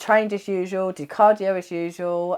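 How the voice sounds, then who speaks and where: A woman with a British accent and a fairly low pitch, at a moderate pace. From UK. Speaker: wellness bodybuilder and vlogger. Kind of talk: casual vlog recap. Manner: animated.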